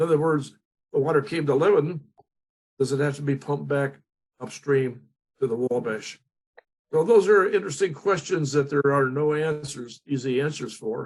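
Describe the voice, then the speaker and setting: With an American accent, the speaker sounds somewhat breathy, keeps a moderate pace with ordinary pitch variation, and takes long, frequent pauses. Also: man, fairly high pitch for a man. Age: 80s+. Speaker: state legislator. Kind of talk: panel discussion. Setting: online forum. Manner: halting.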